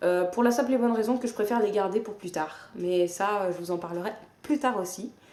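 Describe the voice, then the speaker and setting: With ordinary pitch variation and a dark, mellow tone, a woman talks at a moderate speed. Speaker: book vlogger. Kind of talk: casual vlog monologue. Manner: hesitant with fillers.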